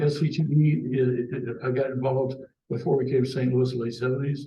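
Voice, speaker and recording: A man speaks at a medium pitch with ordinary pitch variation, sounding somewhat breathy. There is audible room echo. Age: 70s. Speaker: cable industry veteran and mentor. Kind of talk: panel discussion, career storytelling. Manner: casual, hesitant with many fillers.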